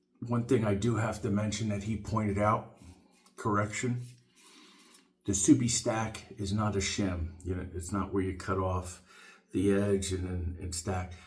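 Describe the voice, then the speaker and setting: The voice is somewhat breathy with fairly even intonation. There is audible room echo. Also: man, fairly low pitch for a man. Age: 60s. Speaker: shaving video reviewer. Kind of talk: casual tutorial monologue. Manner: halting, many fillers.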